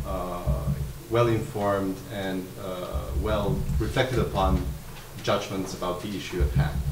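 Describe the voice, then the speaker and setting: A man talks at a fairly slow pace. Noticeable background noise can be heard. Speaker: academic discussant. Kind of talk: academic commentary. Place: meeting room. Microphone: podium.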